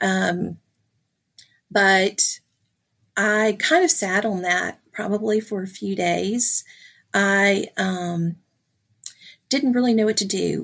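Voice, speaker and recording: With long, frequent pauses, a woman at medium pitch speaks at a very slow pace and ordinary pitch variation. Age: 50s. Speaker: podcast guest sharing DNA discovery story. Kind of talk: personal testimony. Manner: halting, many fillers.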